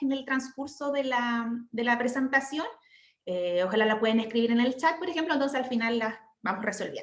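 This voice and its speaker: Her voice is high. The woman talks at a fairly quick pace. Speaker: midwife. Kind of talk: lecture. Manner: fast.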